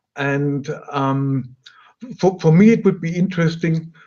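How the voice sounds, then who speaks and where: A man with a German accent talks at a moderate pace. His fairly high voice has a dark, mellow tone and ordinary pitch variation. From Germany. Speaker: audio company product specialist and host. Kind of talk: webinar interview.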